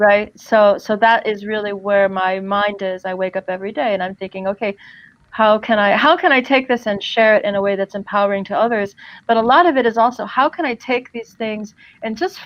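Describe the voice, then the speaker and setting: A woman with an American accent has a plain, everyday voice and a fairly high pitch. She talks at a fairly quick pace with ordinary pitch variation. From US East Coast, New Jersey. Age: 50s. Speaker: empowerment coach. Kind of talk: podcast interview.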